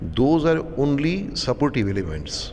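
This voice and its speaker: A man takes a fairly slow pace while noticeable background noise sits behind his words. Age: 60s. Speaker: artist. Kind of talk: interview. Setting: art gallery.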